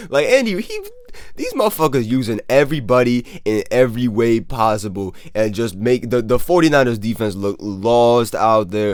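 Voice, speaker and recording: A man with an animated tone, medium pitch and ordinary pitch variation, at a moderate pace amid noticeable background noise. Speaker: NFL commentator, youtuber. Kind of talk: casual video commentary.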